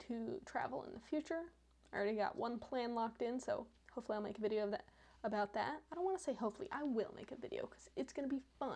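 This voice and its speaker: Speaking at a fairly quick pace, a woman uses an unremarkable speaking voice pitched fairly high. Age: 20s. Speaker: vlogger. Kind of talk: reaction commentary.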